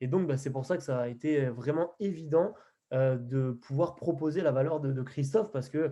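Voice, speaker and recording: A man's dark, mellow tone at a fairly high pitch, moderate in pace, with ordinary pitch variation. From Picardy, northern France. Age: 20s. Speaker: podcast host, network marketing entrepreneur. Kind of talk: interview introduction. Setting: call. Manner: hesitant, many fillers.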